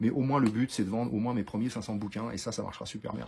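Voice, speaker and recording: With a dark, mellow tone and a fairly low pitch, a man talks in a somewhat breathy voice using fairly even intonation. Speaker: wildlife photographer and author. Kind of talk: casual video message to followers. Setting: outdoors in the cold. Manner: fast; hesitant, many fillers.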